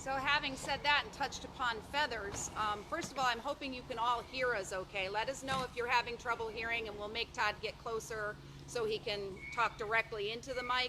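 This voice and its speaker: Over noticeable background noise, a woman with a fairly high voice talks at a fairly quick pace with fairly even intonation. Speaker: wildlife sanctuary educator. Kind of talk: educational talk. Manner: loud.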